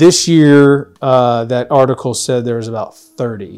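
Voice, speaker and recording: Here is a man with an unremarkable speaking voice. His medium pitch moves with fairly even intonation. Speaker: podcast co-host. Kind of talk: casual chat.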